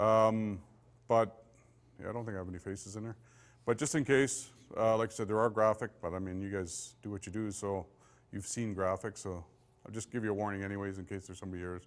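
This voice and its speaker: With a Canadian accent, a man speaks very fast at a fairly low pitch, using fairly even intonation and long, frequent pauses. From Saskatchewan, Canada. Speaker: police forensic investigator; police forensics instructor. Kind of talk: lecture. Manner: casual and conversational, with many fillers. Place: meeting room.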